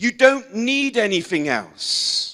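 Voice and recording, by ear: Big pitch swings at a slow pace. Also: man.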